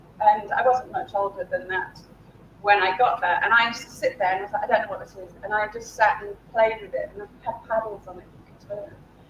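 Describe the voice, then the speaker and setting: A woman with a British accent speaks at a fairly quick pace and a fairly high pitch, with fairly even intonation and big swings in loudness. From UK. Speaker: game design academic, keynote speaker. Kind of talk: keynote talk.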